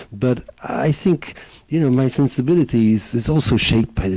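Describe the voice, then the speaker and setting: Here is a man with a Polish accent and lively intonation. There is noticeable background noise in the recording. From Poland, Warsaw; moved to England at fifteen. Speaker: film director. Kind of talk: interview. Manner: hesitant, many fillers.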